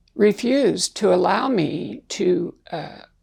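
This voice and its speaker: A woman with a medium pitch and vocal fry talks at a very slow pace. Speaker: interviewee sharing life story. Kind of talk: interview.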